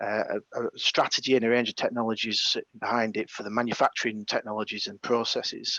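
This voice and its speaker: A man with a northern English accent, medium in pitch and bright and sharp in tone, at a fairly quick pace, with a dry, close sound and no echo. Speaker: engineering manager at a defence company presenting a challenge. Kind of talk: webinar presentation. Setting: video call webinar, on site without camera. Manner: hesitant, many fillers.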